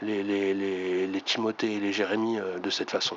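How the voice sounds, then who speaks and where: A man's fairly low, monotone voice at a moderate pace, with flat intonation and noticeable background noise. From France, Reims. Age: 50s. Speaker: YouTuber. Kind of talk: video monologue. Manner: halting, many fillers.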